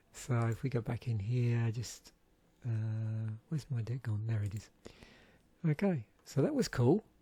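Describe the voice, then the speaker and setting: Speaking at a fairly slow pace with long, frequent pauses, a man uses a medium pitch, ordinary pitch variation and a gentle, relaxed, dark, mellow tone that is somewhat breathy. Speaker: YouTuber reviewing card game packs. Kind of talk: casual solo commentary.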